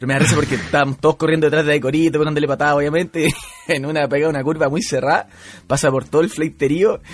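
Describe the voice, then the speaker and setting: Over noticeable background noise, a man talks at a very fast pace with a fairly high pitch and fairly even intonation. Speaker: podcast co-host. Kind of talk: casual chat.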